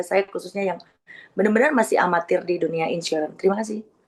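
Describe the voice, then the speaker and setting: This woman talks at a very fast pace. Her pitch sits in the medium range. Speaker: insurance agent, audience member. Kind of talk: question from the audience.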